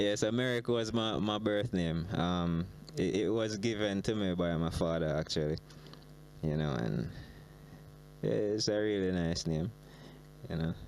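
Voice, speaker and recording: With a Jamaican accent, this speaker talks at a fairly slow pace, leaving long, frequent pauses. The intonation is lively while the loudness stays very even. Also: man, very deep, low pitch for a man. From Jamaica, Trelawny. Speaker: reggae artist. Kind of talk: interview. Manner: halting, many fillers.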